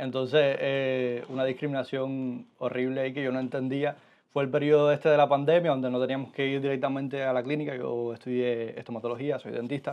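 A man talks at a fairly quick pace in a medium pitch, his monotone, flat intonation hardly broken by pauses. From Cuba, Holguín; Cuba. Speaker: former medical student; podcast guest. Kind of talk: interview. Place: studio.

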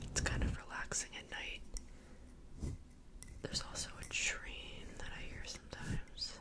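Whispering, a woman gets her words out. Long gaps come up often between them. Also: moderate pace. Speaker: ASMR creator. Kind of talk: casual ASMR ramble to camera. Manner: whispered. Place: home room. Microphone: studio mic.

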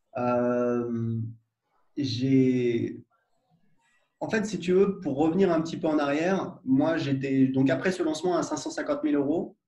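A man's fairly high yet dark, mellow voice at a very slow pace, with ordinary pitch variation and audible room echo. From France, Paris suburbs (Gennevilliers); France. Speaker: entrepreneur, software founder; interviewee. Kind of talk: casual interview conversation. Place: home room. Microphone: video call.

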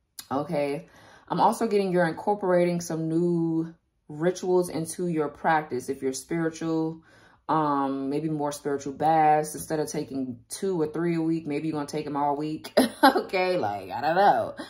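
Set against a quiet background, a woman's very deep, low voice shows ordinary pitch variation. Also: moderate pace. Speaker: tarot reader. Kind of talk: tarot reading commentary. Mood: calm, relaxed, occasional laughs. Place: home room. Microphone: phone near.

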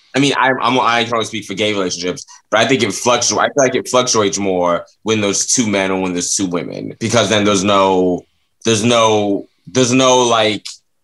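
In an American accent, a man speaks at a fairly quick pace with a fairly low pitch and fairly even intonation. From Florida, US South. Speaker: comedian. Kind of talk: casual chat. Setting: studio. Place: home room. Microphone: webcam.

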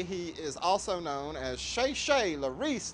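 Light background noise can be heard. A man does the talking. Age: 40s. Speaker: reality TV patient and drag performer. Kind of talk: reality TV confessional and chat. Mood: earnest, emotional plea. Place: cafe. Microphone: lapel.

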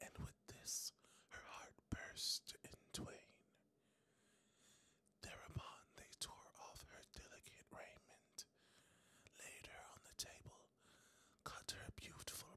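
Whispered speech at a very slow pace. Long pauses come often. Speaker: ASMR storyteller. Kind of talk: fairy tale read aloud for sleep.

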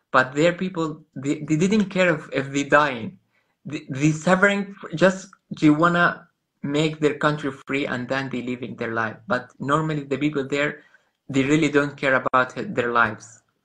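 Speaking at a moderate pace with an Arabic accent, a man has a bright, sharp tone, a fairly high pitch and ordinary pitch variation. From Gaza, Palestine. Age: 30s. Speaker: photographer. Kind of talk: interview. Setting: video call. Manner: halting. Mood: earnest, pleading. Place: home room. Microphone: video call.

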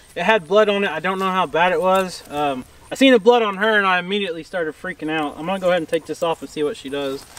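In an American accent, a man speaks at a very fast pace with a high pitch. The sound is dry with no echo, and the pitch variation is ordinary. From Oklahoma. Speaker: farmer, channel host. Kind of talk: casual vlog. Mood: worried, a bit shaken. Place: open country. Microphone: camera far.

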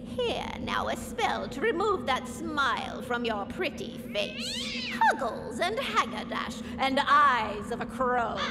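A female-sounding voice uses a high-pitched, put-on character voice at a fairly slow pace. Loud background noise runs underneath. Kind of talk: spooky Halloween prop dialogue. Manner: menacing, gleeful, cackling.

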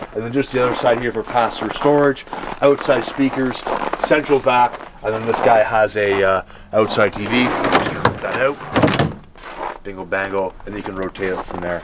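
A man speaks with ordinary pitch variation. Loud background noise fills the recording. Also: moderate pace. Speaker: RV salesman. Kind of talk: product walkaround presentation. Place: street.

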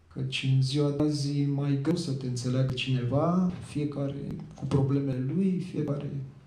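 This man talks at a moderate pace with a fairly high pitch and fairly even intonation. Audible room echo and noticeable background noise surround his voice. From Teleorman, southern Romania (Muntenia). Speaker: poet and journalist. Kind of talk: interview.

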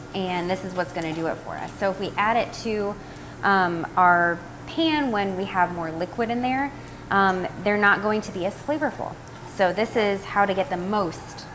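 A woman speaks with ordinary pitch variation over noticeable background noise. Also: moderate pace. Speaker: cooking demo host. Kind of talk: tutorial. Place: kitchen. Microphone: phone near.

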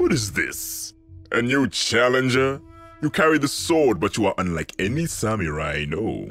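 Faint music plays behind a cartoonish character voice delivered at a moderate pace. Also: man, medium pitch for a man. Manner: mocking, defiant.

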